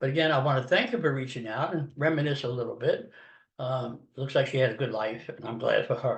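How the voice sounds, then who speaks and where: A man speaks at a fairly quick pace with a fairly high pitch. His voice is somewhat breathy, with ordinary pitch variation. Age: 70s. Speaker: podcast host. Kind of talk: casual monologue. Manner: conversational.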